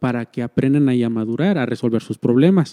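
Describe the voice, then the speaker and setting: This man talks at a fairly quick pace with a Mexican accent and a dark, mellow tone. The sound is dry and close with no echo, and his pitch varies normally. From Mexico. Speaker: church minister. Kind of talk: casual chat.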